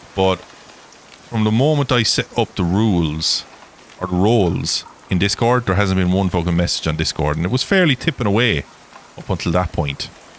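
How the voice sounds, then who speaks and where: The speaker has an Irish accent and lively intonation at a moderate pace. Background noise can be clearly heard. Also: man, very deep, low pitch for a man. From Ireland. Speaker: gaming livestreamer. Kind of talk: casual livestream chat. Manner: rambling, chatty.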